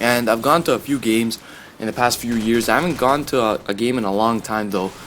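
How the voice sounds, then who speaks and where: A man goes at a fairly quick clip while noticeable noise fills the background. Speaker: gaming and sports commentary youtuber. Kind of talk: casual commentary over gameplay. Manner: fast; casual, filler-heavy.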